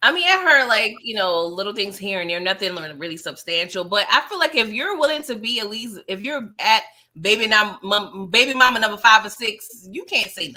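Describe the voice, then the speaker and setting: A woman with a fairly high pitch and a bright, sharp tone speaks at a fairly quick pace. Her intonation is lively, and her loudness swings a lot. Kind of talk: casual chat.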